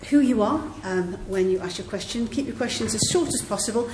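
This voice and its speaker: Against noticeable background noise, a woman talks at a moderate pace in a medium pitch with lively intonation. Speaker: MP chairing event. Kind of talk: formal chairing and welcome at an event. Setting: event with audience.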